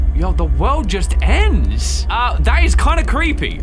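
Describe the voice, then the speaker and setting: A man is speaking. Music plays in the background. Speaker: gaming video creator. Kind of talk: gameplay commentary. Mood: puzzled, curious. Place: home room.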